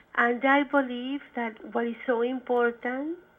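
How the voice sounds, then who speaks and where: A woman with a Spanish accent, flat and monotone, at a fairly slow pace. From Chile, Santiago. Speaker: poet and professor. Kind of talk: interview. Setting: phone call.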